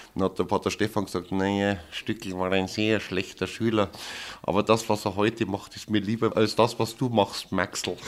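Speaking at a moderate pace, a man holds a monotone, flat intonation on a very clean recording with a silent background. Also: fairly low pitch for a man. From Upper Bavaria, Oberammergau. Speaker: theatre director. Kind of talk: interview.

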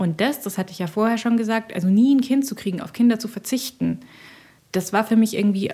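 At a moderate pace, a woman with a fairly high pitch, a dark, mellow tone and vocal fry speaks with ordinary pitch variation. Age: 40s. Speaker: journalist and author. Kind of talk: personal interview about depression. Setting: outdoors at a subway station and at home.

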